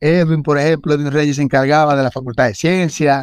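With a Dominican accent, this man talks at a fairly high pitch and keeps his intonation fairly even. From Dominican Republic, San Juan de la Maguana then Santo Domingo. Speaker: swimming instructor. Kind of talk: interview.

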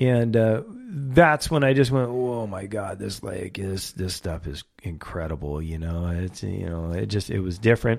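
The speaker has an unremarkable speaking voice with an American accent, recorded very cleanly against a silent background. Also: man, fairly low pitch for a man. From California, Ventura County. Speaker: fishing guide. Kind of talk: casual interview chat.

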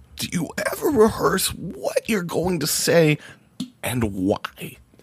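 At a fairly slow pace, the speaker puts on a character voice. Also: man, high pitch for a man. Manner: polished, announcer-like.

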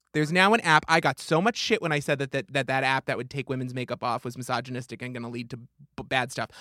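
Bright and sharp in tone, a man's fairly high voice comes through a very clean recording with a silent background and a dry, close sound with no echo. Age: 20s. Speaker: podcast co-host. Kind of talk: casual chat.

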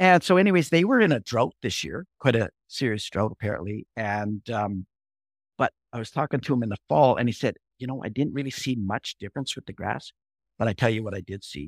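A man with an American accent in an ordinary speaking voice, medium pitch, lively intonation, big swings in loudness and a fairly quick pace, in a very clean recording with a silent background and a dry, close sound with no echo. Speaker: rancher and author.

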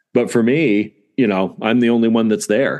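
A man's normal speaking voice with an American accent, medium in pitch, with ordinary pitch variation and a moderate pace, against a quiet background. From Southern California. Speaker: dentist and practice owner. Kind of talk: interview.

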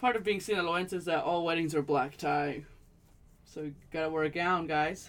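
Speaking at a moderate pace, a woman with an American accent has an unremarkable speaking voice, fairly low in pitch with ordinary pitch variation. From Los Angeles area, California (South Gate). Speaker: podcast co-host. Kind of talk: casual chat.

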